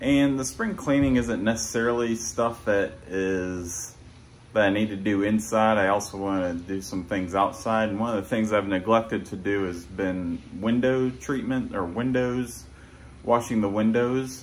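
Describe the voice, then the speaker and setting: A man at a fairly slow pace, with ordinary pitch variation, over light background noise. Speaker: fitness vlogger. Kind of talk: casual vlog chat. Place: home room. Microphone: phone near.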